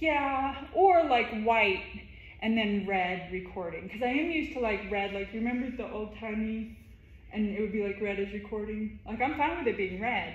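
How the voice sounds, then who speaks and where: A woman speaks at a moderate pace, and audible room echo surrounds her voice. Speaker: boxing trainer. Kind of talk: casual instruction. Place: gym. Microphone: camera far.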